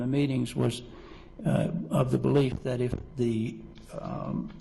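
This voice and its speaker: With a Southern US accent, a man talks at a very slow pace amid audible room echo and noticeable background noise. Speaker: witness, corrections official. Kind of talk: court testimony. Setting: courtroom. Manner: halting, many fillers.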